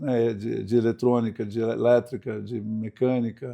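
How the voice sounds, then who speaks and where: His tone is dark and mellow. The man holds a medium pitch with fairly even intonation. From Brazil, Santos (São Paulo coast). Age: 60s. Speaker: sailor, speaker and writer. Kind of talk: podcast interview.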